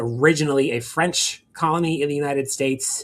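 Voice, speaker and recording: A man's normal speaking voice with an American accent, fairly high in pitch, with fairly even intonation at a moderate pace. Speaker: law professor. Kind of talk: lecture.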